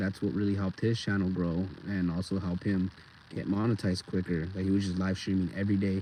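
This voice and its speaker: A man keeps to a moderate pace while noticeable background noise fills the recording. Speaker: skateboarder livestreamer. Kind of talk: casual livestream chat. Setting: outdoors at skatepark. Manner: halting, occasional stutter.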